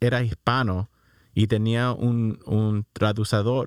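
In a very clean recording with a silent background and a dry, close sound with no echo, a man speaks very slowly at medium pitch. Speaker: co-host of English show. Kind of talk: casual chat.

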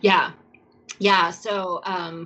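With an American accent, a woman talks at a medium pitch over noticeable background noise. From New York. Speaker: scuba diver and aquarium curator. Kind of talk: interview.

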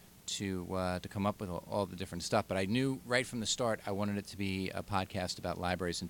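In a very clean recording with a silent background, a man with a Long Island accent speaks very fast at a very deep, low pitch with fairly even intonation. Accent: Long Island, New York. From Long Island, New York. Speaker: podcast co-host, librarian.

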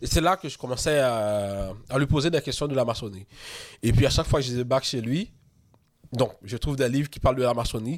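Speaking at a fairly quick pace, a man with a normal speaking voice uses a medium pitch and ordinary pitch variation on a very clean recording with a silent background. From Haiti. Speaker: freemason author and podcaster. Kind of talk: casual interview.

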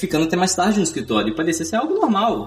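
With very wide pitch swings, a man talks at a very fast pace. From Brazil, Espírito Santo (Grande Vitória). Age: 20s. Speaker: software engineer. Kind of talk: podcast interview.

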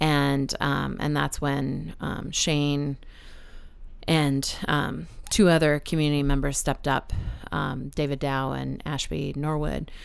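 At a very slow pace, a woman speaks in a very deep, low pitch with monotone, flat intonation. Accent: American. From Texas, San Antonio. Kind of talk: casual interview conversation. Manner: halting, many fillers and repetitions.

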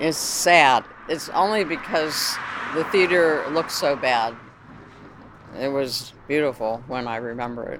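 With an American accent, a woman speaks at a very deep, low pitch and a fairly slow pace, leaving long, frequent pauses amid noticeable background noise. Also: ordinary pitch variation. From Youngstown, Ohio, US Midwest. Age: 80s+. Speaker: daughter of the theater's builder. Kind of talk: casual reminiscing on a tour. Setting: inside an old theater.

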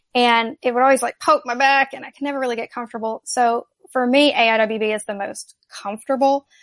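A woman talks at a fairly quick pace and a high pitch, with fairly even intonation. The sound is dry and close, with no echo. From US South. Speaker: gun journalist. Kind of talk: interview.

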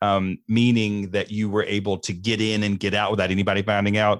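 A man with a Southern US accent and a fairly low pitch speaks at a moderate pace in a very clean recording with a silent background. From US Deep South. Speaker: mental health speaker in addiction recovery. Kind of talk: casual interview. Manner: animated.

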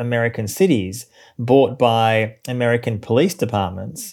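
A man's medium-pitched voice in an Australian accent, with ordinary pitch variation. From Australia, Melbourne. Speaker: journalist and author. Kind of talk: interview.

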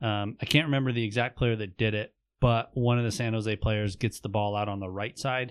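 A man speaks at a fairly quick pace with a normal speaking voice and a medium pitch. His intonation is fairly even, and the background is quiet. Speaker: podcast co-host. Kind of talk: casual chat.

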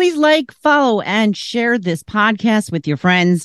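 A woman speaks at a fairly slow pace with very wide pitch swings, recorded dry and close with no echo against a quiet background. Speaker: co-host. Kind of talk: casual chat.

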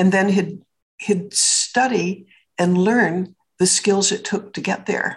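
This woman speaks at a very slow pace. Her voice is somewhat breathy. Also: medium pitch for a woman. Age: 80s+. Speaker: businesswoman and public speaker. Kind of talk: interview. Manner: animated.

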